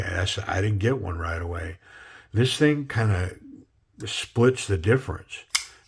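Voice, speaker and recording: In an American accent, a man speaks at a moderate pace with a fairly low pitch, ordinary pitch variation and a relaxed tone. His voice is somewhat breathy, and the recording is very clean with a silent background. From Minnesota. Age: 60s. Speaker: knife reviewer. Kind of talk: casual product review. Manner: relaxed, halting with fillers.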